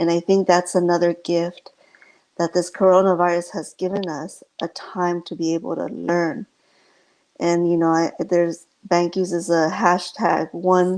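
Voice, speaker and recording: A soft-spoken woman with a fairly low voice talks at a fairly slow pace in a flat monotone against a quiet background. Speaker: inspirational speaker. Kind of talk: inspirational talk.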